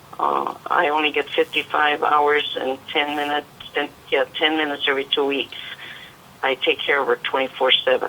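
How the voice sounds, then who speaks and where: Over noticeable background noise, a woman talks at a moderate pace in a very deep, low pitch with monotone, flat intonation. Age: 70s. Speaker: caller, home caregiver for her mother. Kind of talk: caller question. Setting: phone call. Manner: halting.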